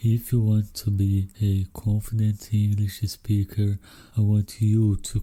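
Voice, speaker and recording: Speaking at a fairly slow pace with a Brazilian accent, a man uses a fairly low pitch, a dark, mellow, somewhat breathy tone and monotone, flat intonation. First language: Brazilian Portuguese. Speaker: podcast host. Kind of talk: solo podcast monologue.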